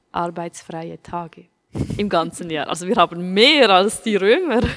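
A woman speaks very slowly with lively intonation in a dry, close sound with no echo. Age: 20s. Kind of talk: casual chat.

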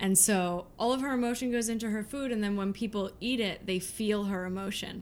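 A woman talks in a normal speaking voice at a medium pitch. Her pace is fairly quick, with hardly any pauses. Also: fairly even intonation. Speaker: pastry chef. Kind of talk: interview. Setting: studio.

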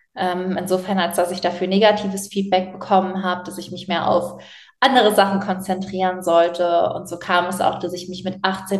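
A woman at a medium pitch and moderate pace, with monotone, flat intonation and big swings in loudness. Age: 20s. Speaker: author and animal welfare activist. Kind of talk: interview.

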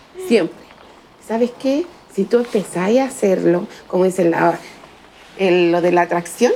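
A woman speaks with a Chilean accent and lively intonation. Noticeable background noise runs behind her. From Chile, Valparaíso. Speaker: single mother, fortune teller. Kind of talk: interview testimony.

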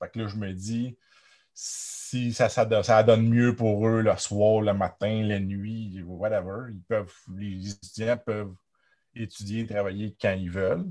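Delivered at a very slow pace, the dark, mellow voice keeps a monotone, flat intonation while its loudness swings widely. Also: man, fairly low pitch for a man, quiet background. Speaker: university lecturer. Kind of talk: interview.

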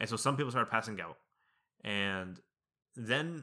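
Over a silent background in a very clean recording, a man talks at a fairly quick pace in a fairly low pitch with a bright, sharp tone. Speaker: podcast co-host. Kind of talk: casual chat.

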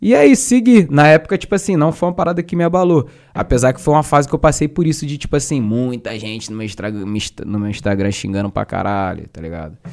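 With a Rio de Janeiro accent, a man talks very fast at a fairly high pitch with very wide pitch swings and big swings in loudness on a very clean recording with a silent background. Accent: carioca. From Duque de Caxias, Baixada Fluminense, Rio de Janeiro. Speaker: rapper and battle MC. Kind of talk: casual chat.

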